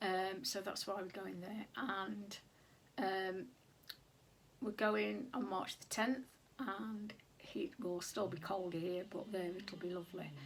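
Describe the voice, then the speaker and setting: A woman speaks with a British accent at a very slow pace. Her speech has long, frequent pauses. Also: medium pitch for a woman, ordinary pitch variation. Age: 60s. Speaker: sewing vlogger. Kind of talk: casual vlog talk. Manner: hesitant, many fillers.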